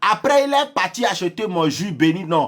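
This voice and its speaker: A man's animated tone with lively intonation at a fairly slow pace. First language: not French (speaking French). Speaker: social media influencer. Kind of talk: heated rant.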